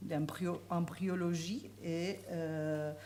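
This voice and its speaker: The speaker is a woman with a fairly low pitch. Room echo is audible in the recording. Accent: Spanish. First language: Spanish (speaking French). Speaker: law professor. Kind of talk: conference talk. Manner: halting, many hesitations.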